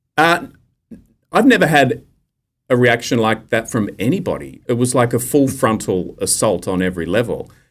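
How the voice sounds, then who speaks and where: A man with an Australian accent, medium pitch, lively intonation and a moderate pace. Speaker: investigative journalist. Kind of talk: interview.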